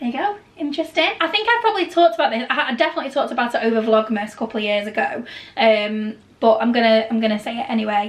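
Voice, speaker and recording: This woman's fairly high voice races along at a very fast pace. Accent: British. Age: 30s. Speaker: travel and Disney vlogger. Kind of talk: casual chat. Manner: loud.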